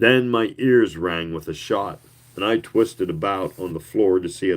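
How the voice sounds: Text read in a natural reading voice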